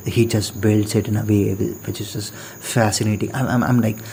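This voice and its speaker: There is noticeable background noise behind this man's voice. He speaks with a non-native accent in a fairly low pitch and a monotone, flat intonation. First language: not English. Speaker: podcast host. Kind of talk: casual monologue. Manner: halting, many fillers and repetitions.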